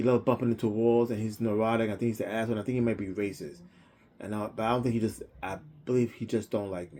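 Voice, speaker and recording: A man's medium-pitched, dark and mellow voice, very fast, with fairly even intonation. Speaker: electrician. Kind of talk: personal audio diary monologue. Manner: halting, repetitive.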